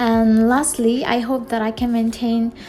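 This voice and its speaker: A woman with an Indonesian accent speaks at a fairly high pitch with monotone, flat intonation over noticeable background noise. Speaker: new YouTuber. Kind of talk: channel introduction vlog. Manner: halting.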